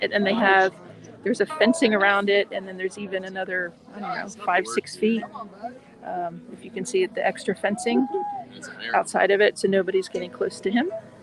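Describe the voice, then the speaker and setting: The speaker is quiet and talks at a moderate pace with long, frequent pauses. Noticeable background noise is present. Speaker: family travel vlogger. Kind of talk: live stream vlog commentary. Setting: outdoors at a nature center. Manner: talking quietly.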